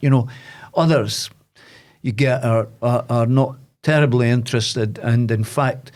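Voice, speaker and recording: With a Scottish accent, a man speaks at medium pitch using ordinary pitch variation. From Aberdeen, Scotland. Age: 70s. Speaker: boxing coach and former sports presenter. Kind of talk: podcast interview answer.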